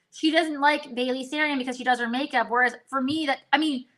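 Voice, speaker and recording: A woman speaks at a very fast pace in a raised, projected voice with a bright, sharp tone. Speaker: makeup content creator. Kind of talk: casual chat. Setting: livestream.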